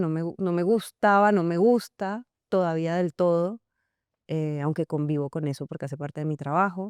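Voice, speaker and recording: At a moderate pace, a woman with a fairly low pitch and ordinary pitch variation speaks in a dry, close sound with no echo against a quiet background. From Colombia, Cartagena (Caribbean coast), partly raised in Venezuela. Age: 30s. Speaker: actress and screenwriter. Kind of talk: interview. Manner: hesitant, many fillers.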